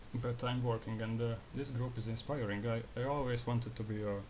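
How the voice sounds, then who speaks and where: Audible room echo surrounds a man with a non-native accent whose medium-pitched, somewhat breathy voice stays monotone and flat at a moderate pace. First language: not English. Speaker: graphic designer, video creator. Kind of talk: casual monologue vlog. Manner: halting, repeats himself; disfluent with filler swearing.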